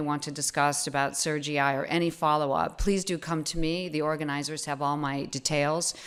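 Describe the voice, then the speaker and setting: A fairly quick pace in an American accent. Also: woman. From United States. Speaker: foundation trustee. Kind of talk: opening remarks. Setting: conference stage with audience. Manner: hesitant, with fillers.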